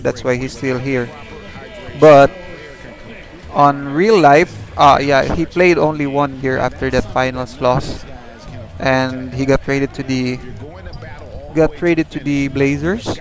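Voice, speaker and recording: With music in the background, a man with a non-native accent and a fairly high pitch speaks at a fairly slow pace, with fairly even intonation and long, frequent pauses. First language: not English. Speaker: gaming livestreamer. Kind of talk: live gameplay commentary. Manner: halting.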